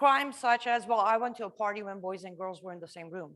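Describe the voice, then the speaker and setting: A woman with an Iranian accent speaks in an animated tone. Her voice sounds bright and sharp. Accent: Iranian (Persian) accent in English. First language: Farsi. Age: 30s. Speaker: refugee speaker sharing life story. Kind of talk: testimony talk to a live audience. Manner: conversational, animated.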